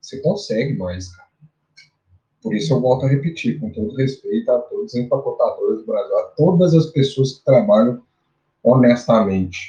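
Big swings in loudness mark a man speaking at a moderate pace. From Brazil, Minas Gerais interior (Araxá). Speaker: bitcoin analyst and physical educator. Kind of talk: casual interview chat.

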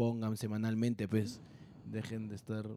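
A man's tone is dark and mellow, and his delivery moves at a fairly quick pace. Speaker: podcast co-host. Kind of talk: casual chat. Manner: animated; fast.

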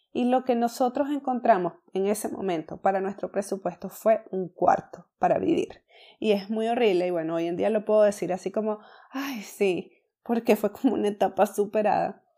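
A woman's dark, mellow voice at a medium pitch, moderate pace and ordinary pitch variation, in a very clean recording with a silent background. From Venezuela. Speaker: entrepreneurship podcaster. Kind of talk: casual personal story monologue.

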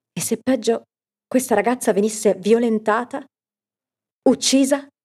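Her tone is dark and mellow, with a fairly high pitch. This woman keeps a moderate pace. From Italy, Piacenza (Emilia). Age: 30s. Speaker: podcast narrator, storyteller and actress. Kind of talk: scripted narration.

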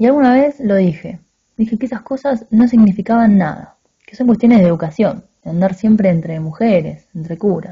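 A woman's intense, somewhat breathy, medium-pitched voice, fairly quick and with lively intonation. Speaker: narrator reading a short story aloud. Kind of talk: dramatic narration of a literary story, confessional first-person reading aloud. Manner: intense, halting and confessional, with pauses and stumbles, a tone of shame and regret.

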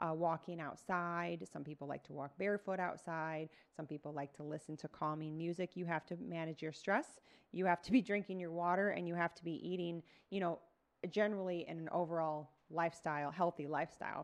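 This woman has a normal speaking voice, fairly low in pitch, with fairly even intonation, big swings in loudness, and a fairly quick pace. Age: 40s. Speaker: fitness coach and podcaster. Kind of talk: casual solo monologue. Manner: conversational, with fillers.

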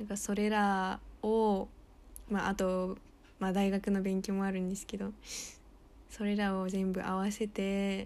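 On a very clean recording with a silent background, a woman speaks at medium pitch in a monotone, flat intonation, at a fairly slow pace with long, frequent pauses. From United States. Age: 20s. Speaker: podcast co-host, university student. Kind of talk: casual chat.

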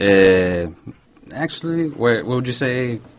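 At a very slow pace, a man with a medium pitch talks with lively intonation against noticeable background noise. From Santa Ana, California. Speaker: DJ. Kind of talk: casual chat. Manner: code-switching Spanish and English; halting.

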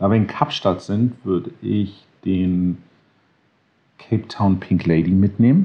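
With a very deep, low pitch and ordinary pitch variation, a man speaks at a very slow pace. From grew up in Connecticut, USA and Berlin. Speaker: gin maker and designer. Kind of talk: casual interview.

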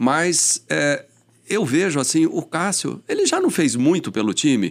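A man talks fairly slowly at a fairly high pitch, with vocal fry and very wide pitch swings. The recording is very clean, the background silent. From São Paulo, Brazil. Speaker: police chief. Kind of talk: casual interview chat. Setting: studio.

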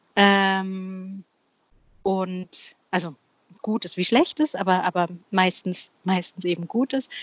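A woman's medium-pitched voice at a very slow pace, with long, frequent pauses and ordinary pitch variation. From Bavaria, Germany. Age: 40s. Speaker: freelance copywriter. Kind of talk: casual interview. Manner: halting, many fillers and repetitions.

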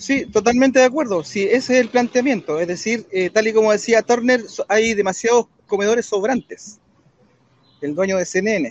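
A man's voice rides high in pitch, varying it in an ordinary way. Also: moderate pace. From Chile. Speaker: political commentator. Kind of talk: debate.

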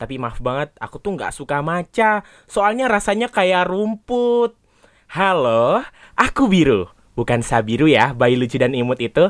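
On a very clean recording with a silent background, a man's high voice makes very wide pitch swings. The sound is dry and close with no echo, and the pace is fairly slow. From Java, Indonesia. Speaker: student podcast co-host. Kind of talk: casual chat. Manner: calm.

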